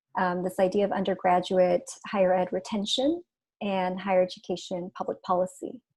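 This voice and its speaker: A woman speaks at medium pitch and a moderate pace. It is a plain, everyday voice. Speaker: policy consultant. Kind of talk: panel discussion.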